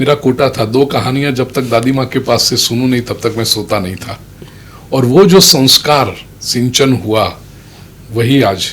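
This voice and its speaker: A man with a Gujarati accent talks at a medium pitch with ordinary pitch variation. Noticeable background noise is present. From Mumbai, India (Gujarati family). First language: Gujarati (speaking Hindi). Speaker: religious storyteller and preacher. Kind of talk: interview. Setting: studio.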